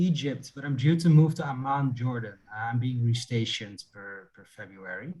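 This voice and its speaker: A somewhat breathy voice with a Dutch accent runs on with hardly any pauses and big swings in loudness. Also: man. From Netherlands. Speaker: investment analyst. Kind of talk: casual chat. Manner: halting.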